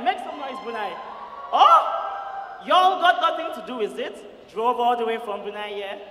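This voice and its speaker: An animated tone with very wide pitch swings at a fairly slow pace, plus audible room echo and noticeable background noise. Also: man. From Nigeria. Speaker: student comedian. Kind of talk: stand-up. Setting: stage with audience.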